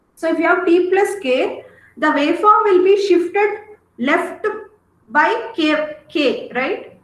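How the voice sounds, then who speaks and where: In a room with audible echo, a woman talks at a very slow pace. Her pitch is extremely high and her intonation lively. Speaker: teacher. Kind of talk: lecture.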